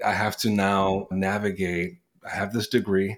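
A man with a Spanish accent talks at a moderate pace in a fairly low voice. The recording is very clean, with a silent background. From New York City. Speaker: sales executive and sales coach. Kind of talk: casual interview.

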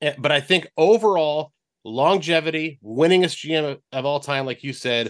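A man's plain, everyday voice with a fairly high pitch, moderate pace and ordinary pitch variation, in a dry, close sound with no echo. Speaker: radio sports reporter. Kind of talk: casual sports chat.

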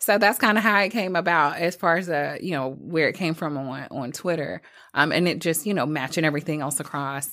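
In a very clean recording with a silent background, a voice with an American accent and a bright, sharp tone talks at a fairly quick pace with ordinary pitch variation. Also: woman, very deep, low pitch for a woman. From rural southern Virginia. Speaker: entrepreneur and military veteran. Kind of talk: casual chat.

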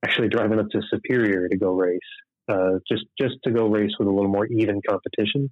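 Here a man speaks with an Upper Midwest accent. His delivery is fairly quick and monotone, with flat intonation. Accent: Upper Midwest American. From southern Minnesota, near Rochester. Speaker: sprint car racing driver. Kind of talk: casual interview. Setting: phone call.

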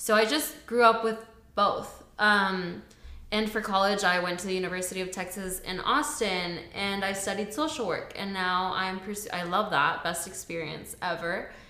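A woman's medium-pitched voice moves at a moderate pace while noticeable background noise runs underneath. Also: ordinary pitch variation. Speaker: podcast co-host. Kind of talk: casual chat.

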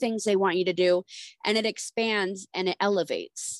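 At a moderate pace, a woman speaks in a plain, everyday voice, recorded with a dry, close sound and no echo. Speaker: podcast co-host. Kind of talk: casual chat.

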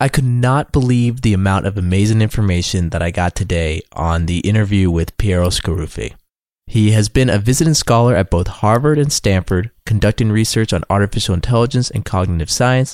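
In a normal speaking voice, a man with fairly low pitch and ordinary pitch variation talks at a fairly quick pace with hardly any pauses, the sound dry and close with no echo. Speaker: podcast host. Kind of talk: interview.

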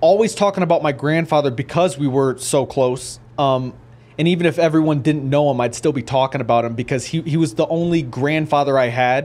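In an ordinary speaking voice, a man talks at a moderate pace with hardly any pauses and ordinary pitch variation. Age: 20s. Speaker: professional boxer. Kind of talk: interview. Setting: studio.

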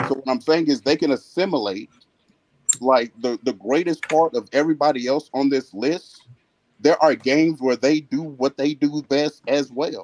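A man with an ordinary speaking voice talks at a moderate pace at a fairly high pitch with ordinary pitch variation, in a dry, close sound with no echo. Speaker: basketball debate panelist.

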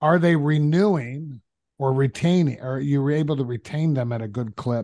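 In a normal speaking voice, a man with a fairly high pitch talks using lively intonation. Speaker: podcast co-host. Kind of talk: casual interview conversation.

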